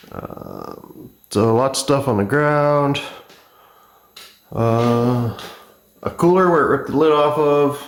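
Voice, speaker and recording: Here a man speaks at a very slow pace with long, frequent pauses, with a fairly high pitch and ordinary pitch variation. Audible room echo surrounds his voice. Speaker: spray paint artist. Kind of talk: on-camera vlog talk. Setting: garage studio.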